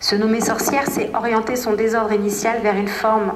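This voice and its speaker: Noticeable background noise runs under a woman whose voice is fairly high. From Martinique. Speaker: dancer and choreographer. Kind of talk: interview. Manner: halting.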